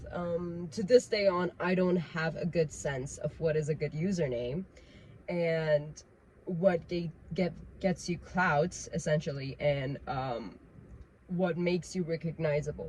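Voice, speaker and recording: A woman speaks in a Persian accent at a fairly low pitch with ordinary pitch variation. Her voice is somewhat breathy and her pace fairly slow. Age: 20s. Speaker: vlogger. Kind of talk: casual rant monologue. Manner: unscripted, with fillers.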